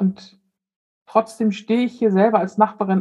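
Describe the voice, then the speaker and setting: A woman's medium pitch in a dark, mellow, somewhat breathy tone with monotone, flat intonation. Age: 50s. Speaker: death doula. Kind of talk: interview.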